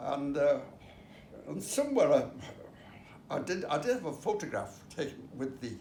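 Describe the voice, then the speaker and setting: A man talks fairly slowly. Background noise is noticeable throughout. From Liverpool, England. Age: 80s+. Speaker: army veteran. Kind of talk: interview answer.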